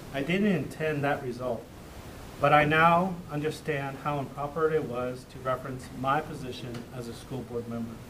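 Against noticeable background noise, a man speaks with big swings in loudness. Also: ordinary pitch variation, moderate pace. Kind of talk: formal public apology statement. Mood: contrite, solemn. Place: meeting room. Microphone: podium.

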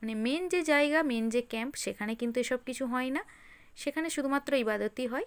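Recorded very cleanly against a silent background, a woman talks at a high pitch with ordinary pitch variation. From West Bengal, Hooghly district. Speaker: vlogger. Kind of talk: vlog narration. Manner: casual, chatty.

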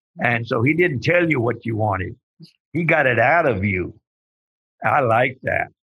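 Speaking at a fairly slow pace with long, frequent pauses, a man with a medium-pitched voice talks in a Texan accent. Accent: Texan drawl. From Texas. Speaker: nonprofit leader and civil rights organizer. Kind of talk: interview.

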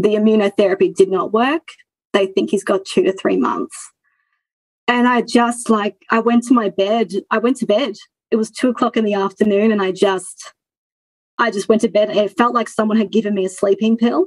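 Speaking with an Australian accent, a woman has a fairly high pitch with ordinary variation. Her moderate pace comes through in a dry, close sound with no echo. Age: 30s. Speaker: former coaching client. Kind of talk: interview. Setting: video call.

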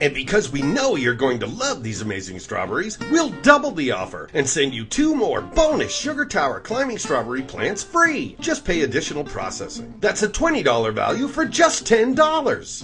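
With music in the background, a man talks in an upbeat tone at a moderate pace with hardly any pauses. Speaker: commercial voice-over announcer. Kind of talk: TV commercial read. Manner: upbeat, salesy.

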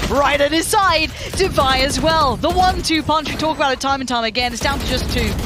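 At a very fast pace, the speaker sounds animated and excited over noticeable background noise. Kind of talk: esports commentary. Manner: animated, fluent play-by-play with excited bursts.

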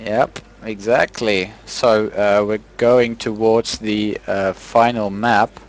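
A man's fairly low, monotone, flat voice at a very slow pace, with noticeable background noise. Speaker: esports commentator. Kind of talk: live esports commentary with casual banter. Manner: relaxed, chatty, laughs often, hesitant fillers.

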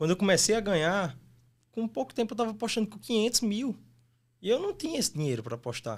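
Against a quiet background, a man talks at a very fast pace in a high voice with lively intonation. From Brazil, Mossoró (Rio Grande do Norte); Rio Grande do Norte, Brazil. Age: 20s. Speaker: sports betting tipster; podcast guest. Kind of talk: casual interview; interview answer. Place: studio. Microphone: studio mic.

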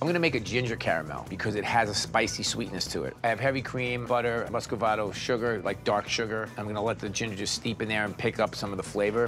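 A man talks at a very fast pace with hardly any pauses, over clear music in the background. His pitch is fairly low, with ordinary pitch variation. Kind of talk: cooking commentary. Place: studio. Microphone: lapel.

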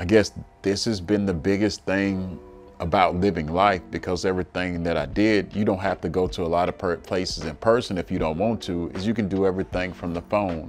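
Faint music sits in the background. A man talks with fairly even intonation at a very deep, low pitch. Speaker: interviewee. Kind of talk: interview answer. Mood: relaxed, reflective, some laughs. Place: office. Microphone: lapel.

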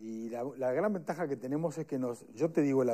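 Speaking at a moderate pace, a man has a dark, mellow tone and a fairly high pitch. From Uruguay. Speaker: lawyer and police union adviser; lawyer. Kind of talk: panel discussion. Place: studio. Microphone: lapel.

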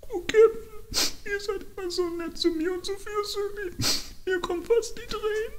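The speaker talks at a fairly slow pace with an extremely high pitch, over clear background noise. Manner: anxious, fearful, pleading.

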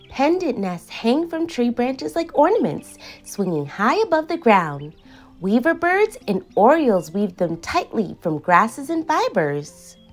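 A high-pitched woman at a fairly slow pace, with faint music in the background. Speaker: children's show host. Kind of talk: educational kids' show narration.

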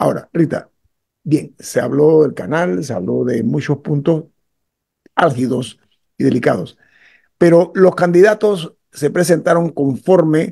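A man talks with a fairly high pitch, a dark, mellow tone and vocal fry, at a fairly slow pace. His intonation is lively, and the background is quiet. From Panama. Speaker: radio host. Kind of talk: radio talk show. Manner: emphatic. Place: home room. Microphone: video call.

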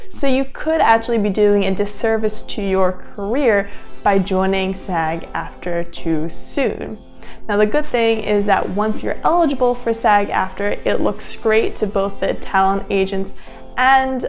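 Over faint background music, a woman talks at a fairly slow pace with ordinary pitch variation. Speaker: actor giving career advice. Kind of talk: tutorial. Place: home room.

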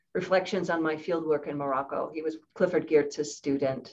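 A woman with a normal speaking voice talks at a moderate pace. Her pitch is fairly low, with ordinary pitch variation. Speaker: author and anthropologist. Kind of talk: academic seminar discussion, responding to questions. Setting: online video seminar.

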